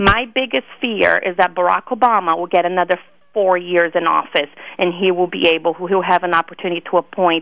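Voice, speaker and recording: Fairly low in pitch, a woman speaks at a fairly quick pace with fairly even intonation. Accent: Brazilian. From Brazil (Rio de Janeiro). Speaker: political activist. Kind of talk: interview. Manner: repetitive false starts.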